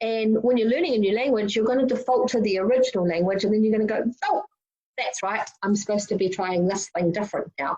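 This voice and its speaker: Talking at a very fast pace, a woman with a fairly high pitch and a dark, mellow tone shows ordinary pitch variation. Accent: New Zealand. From New Zealand (Wellington). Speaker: youth summit speaker. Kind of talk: prerecorded presentation.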